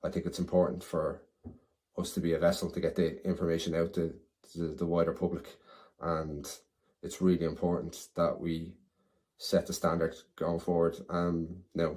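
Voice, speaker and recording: A man with a Dublin accent and a very deep, low pitch, monotone and flat at a moderate pace with long, frequent pauses, on a very clean recording with a silent background. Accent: Dublin Irish. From Ireland, Dublin (Clondalkin). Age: 40s. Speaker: committee candidate, EV enthusiast. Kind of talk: candidate self-introduction video.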